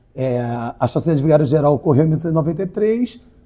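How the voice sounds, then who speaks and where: A dark, mellow tone in a man's somewhat breathy speech. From Rio de Janeiro, Brazil. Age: 40s. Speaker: writer and community activist. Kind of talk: interview.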